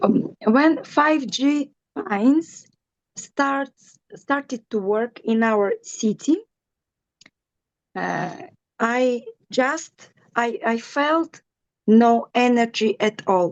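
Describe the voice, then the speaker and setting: In a dry, close sound with no echo, a woman with a Russian accent speaks very slowly at a high pitch, her lively intonation broken by long, frequent pauses. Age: 50s. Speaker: wellness distributor. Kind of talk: personal testimony. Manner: halting, searching for English words.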